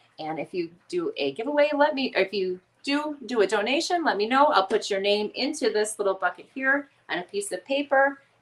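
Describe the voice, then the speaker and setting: This voice talks at a fairly quick pace with very wide pitch swings and an American accent. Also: woman. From Northwest Indiana / Chicago area, US Midwest. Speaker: crochet YouTuber. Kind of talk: casual livestream chat. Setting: home kitchen, livestream.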